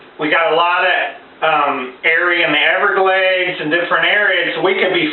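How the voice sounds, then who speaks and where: A man speaks with a high pitch. Noticeable background noise and audible room echo come through. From Massachusetts, US. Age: 40s. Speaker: vlogger. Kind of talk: mock political address. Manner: halting, many fillers.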